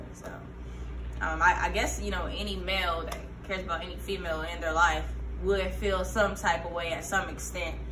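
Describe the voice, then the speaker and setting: Noticeable background noise is present. A woman talks at a fairly quick pace. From Fayetteville, North Carolina. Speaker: rapper and military veteran. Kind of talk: casual interview. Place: shop. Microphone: camera far.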